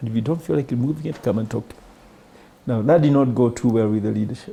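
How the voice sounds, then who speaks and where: This is a man speaking. He has a Kenyan accent. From rural Kenya. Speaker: bank CEO. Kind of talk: interview answer.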